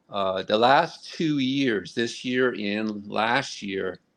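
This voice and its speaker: Against a quiet background, a man with an American accent talks at a medium pitch with ordinary pitch variation. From Connecticut. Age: 60s. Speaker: marathon runner. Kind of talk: interview. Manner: halting, repetitive starts.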